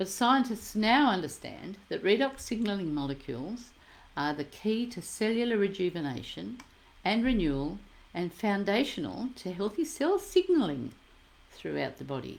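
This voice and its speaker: This woman's voice sits at a medium pitch and carries vocal fry. Her pitch swings very widely. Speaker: product presenter. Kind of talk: sales pitch. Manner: fast.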